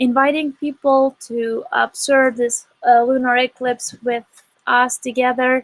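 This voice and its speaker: At a fairly slow pace, a woman with a high pitch speaks in a monotone, flat intonation, the sound dry and close with no echo. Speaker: astronomy outreach director. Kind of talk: live-stream commentary. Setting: live online broadcast, outdoor observing. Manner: casual, halting with fillers.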